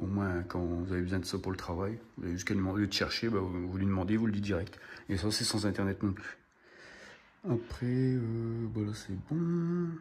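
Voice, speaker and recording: Audible room echo surrounds a man whose fairly low voice varies in pitch in an ordinary way. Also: moderate pace. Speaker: home automation hobbyist. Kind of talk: tutorial. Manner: loud; casual, hesitant.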